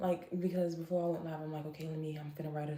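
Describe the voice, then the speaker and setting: Very deep, low pitch from a woman, in very fast, monotone, flat speech with audible room echo. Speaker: live streamer and psychic. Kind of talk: emotional livestream monologue. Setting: live stream. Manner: halting, self-interrupting.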